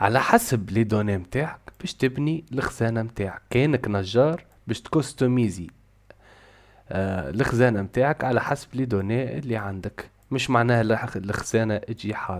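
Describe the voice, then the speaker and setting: A man's medium-pitched voice with a Tunisian accent. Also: ordinary pitch variation, moderate pace. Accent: Tunisian Arabic with French code-switching. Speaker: programming teacher. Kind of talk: casual tutorial talk to camera.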